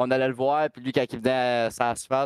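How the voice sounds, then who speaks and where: A man speaks with a Quebec accent at a moderate pace, his intonation monotone and flat. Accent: Québécois French. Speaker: race car driver. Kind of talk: casual chat.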